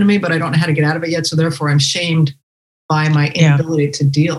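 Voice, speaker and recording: At a very fast pace, a woman speaks with a fairly low pitch and a somewhat breathy quality. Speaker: podcast host. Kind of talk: interview chat.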